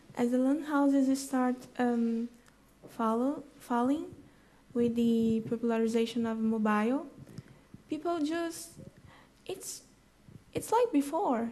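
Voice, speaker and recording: Over audible room echo, a woman with a high pitch and a dark, mellow tone speaks very slowly, with long, frequent pauses. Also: ordinary pitch variation. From Brazil, Rio de Janeiro. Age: 20s. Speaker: conference speaker. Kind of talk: audience Q&A. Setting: conference stage with audience. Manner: halting.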